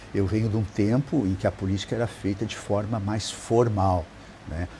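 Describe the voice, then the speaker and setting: This man's voice sits fairly low in pitch. He talks at a moderate pace with fairly even intonation. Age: 60s. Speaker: city council legislative director. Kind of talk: interview. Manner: hesitant, with fillers.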